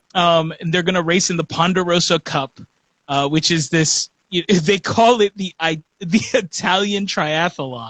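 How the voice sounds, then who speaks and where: Pitch varies in an ordinary way. The pace is fairly slow. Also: man, high pitch for a man. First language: Spanish. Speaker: podcast host. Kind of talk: casual chat. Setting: live stream on social media.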